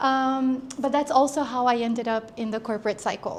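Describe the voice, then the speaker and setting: A woman speaks with an American accent. Her intonation stays fairly even. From Brazil, raised in the US. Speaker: entrepreneur. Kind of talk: talk to a small audience. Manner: halting.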